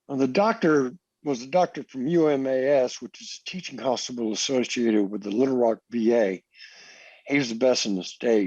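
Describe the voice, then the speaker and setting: A man with an American accent, a normal speaking voice at medium pitch, lively intonation and a quiet background. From US military family, raised partly in Germany. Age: 60s. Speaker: Coast Guard veteran. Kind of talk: interview testimony.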